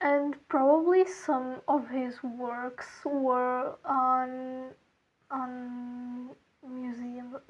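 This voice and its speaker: A woman's high voice with a non-native accent at a very slow pace. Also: fairly even intonation. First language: not English. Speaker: art content creator. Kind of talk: casual chat. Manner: halting.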